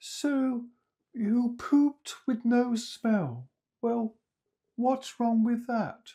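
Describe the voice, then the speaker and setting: In a put-on character voice with a fairly high pitch, the speaker goes at a very slow pace with long, frequent pauses. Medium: read story. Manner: friendly, unfazed.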